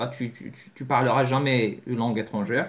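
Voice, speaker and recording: A man speaks at a medium pitch with a Moroccan accent. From Morocco. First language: Moroccan Arabic (speaking French). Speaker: language learning youtuber. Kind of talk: video lesson to camera. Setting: talking to a camera. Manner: halting, many repetitions and self-corrections.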